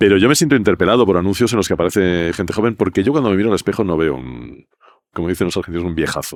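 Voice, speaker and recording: A very deep, low male voice with vocal fry, lively intonation and a very fast pace. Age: 60s. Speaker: advertising creative director. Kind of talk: podcast interview.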